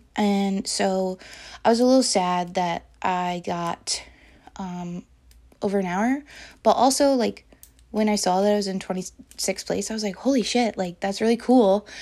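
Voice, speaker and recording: On a very clean recording with a silent background, a woman with a medium pitch and a dark, mellow tone talks at a moderate pace, her pitch varying in an ordinary way. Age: 20s. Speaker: podcast host. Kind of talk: personal diary-style monologue. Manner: casual with frequent fillers and laughter.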